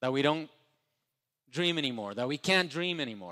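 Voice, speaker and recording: On a very clean recording with a silent background, a man with a Spanish accent speaks in a fairly high voice with lively intonation. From Ecuador. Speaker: entrepreneur, motivational speaker. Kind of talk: motivational speech. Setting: stage with live audience.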